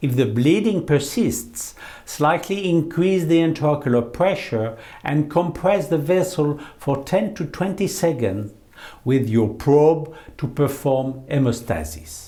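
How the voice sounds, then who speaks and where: With a French accent, a man with a fairly high pitch and a dark, mellow, somewhat breathy tone speaks very slowly with lively intonation amid audible room echo. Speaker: eye surgeon. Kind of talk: lecture. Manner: formal.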